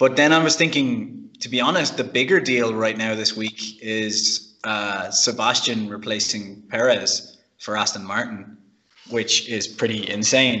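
A man's medium-pitched voice with ordinary pitch variation, a normal speaking voice. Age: 30s. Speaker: car podcast panelist. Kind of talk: casual chat.

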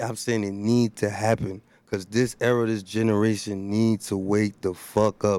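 A man with a New Jersey accent, fairly low in pitch, at a fairly slow pace. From Elizabeth, New Jersey, Haitian family. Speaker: rapper. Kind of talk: casual chat.

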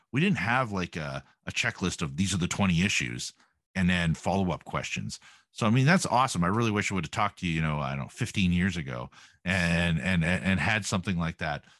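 A man with a Canadian accent and a very deep, low voice, lively intonation, vocal fry and a fairly quick pace. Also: quiet background. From Canada. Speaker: podcast host. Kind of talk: casual interview chat.

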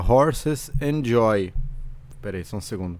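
The recording is very clean, with a silent background. A man talks in a medium pitch. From Brazil, Santos (São Paulo coast). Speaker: comedian and musician, podcast host. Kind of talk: casual solo monologue. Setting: home recording in bedroom. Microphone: condenser studio mic with audio interface.

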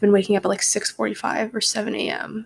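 The woman is soft-spoken with a medium pitch. Her pace is moderate. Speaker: podcast host. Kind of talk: casual chat. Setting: at home, early morning.

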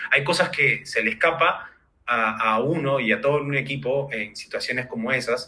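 Moving at a moderate pace, a man speaks in a fairly high voice with a bright, sharp tone. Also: ordinary pitch variation. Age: 30s. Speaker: startup founder. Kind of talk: interview. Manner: halting.

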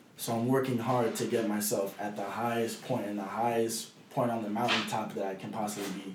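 A man talks at a fairly quick pace in a monotone, flat intonation, with audible room echo and noticeable background noise. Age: young. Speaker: youth professional footballer. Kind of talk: casual chat. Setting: at home.

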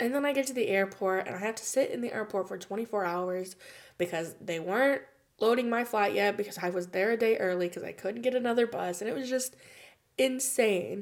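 A woman in a normal speaking voice with an American accent, fairly high in pitch, with ordinary pitch variation and a fairly quick pace, on a very clean recording over a silent background. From United States. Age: 20s. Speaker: podcast host. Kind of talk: testimony.

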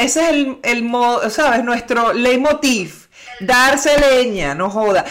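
Against noticeable background noise, a woman speaks in a high pitch with lively intonation. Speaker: trained broadcaster. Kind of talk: casual chat.

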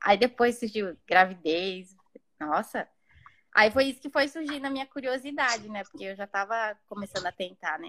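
An unremarkable speaking voice at a moderate pace, with lively intonation and big swings in loudness. The sound is dry and close, with no echo. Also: woman, fairly high pitch for a woman. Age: 30s. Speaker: mother sharing birth story. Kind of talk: personal testimony.

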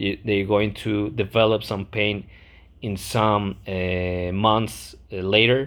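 Speaking with a non-native accent, a man keeps his intonation fairly even. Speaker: podcast host, medical exam candidate. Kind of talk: lecture. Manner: halting, many fillers and repetitions.

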